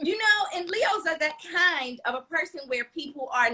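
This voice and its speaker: An animated woman's high, raised and projected voice with very wide pitch swings. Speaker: talk show host. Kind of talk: casual chat. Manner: loud.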